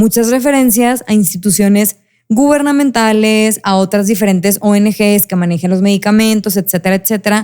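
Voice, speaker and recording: The voice has a dark, mellow tone and very even loudness. It moves at a moderate pace with ordinary pitch variation. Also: woman, medium pitch for a woman. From Mexico, Monterrey (Nuevo León). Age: 30s. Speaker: mental health advocate. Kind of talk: interview conversation. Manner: halting, many self-corrections.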